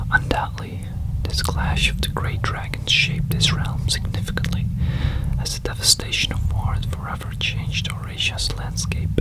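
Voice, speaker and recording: Someone whispers at a moderate pace with noticeable background noise behind them. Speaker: ASMR creator. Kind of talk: whispered story reading. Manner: whispering; soft-spoken.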